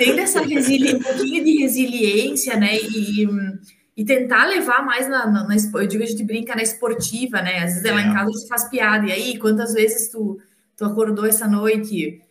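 Using an ordinary speaking voice, a woman talks at a fairly high pitch and moderate pace with ordinary pitch variation. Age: 40s. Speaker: parent. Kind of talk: casual interview.

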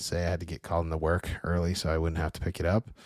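A man speaks with an American accent. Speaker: podcast co-host. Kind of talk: casual chat.

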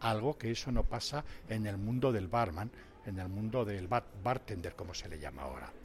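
This man's voice is fairly low, somewhat breathy and dark, mellow in tone. His intonation is lively, with big swings in loudness. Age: old. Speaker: retired waiter and barista instructor. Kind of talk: interview.

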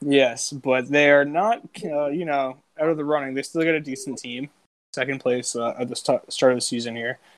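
A man's fairly high voice at a moderate pace, with ordinary pitch variation and an unremarkable speaking voice. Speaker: podcast co-host. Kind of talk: casual banter, joking around. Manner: profane, joking.

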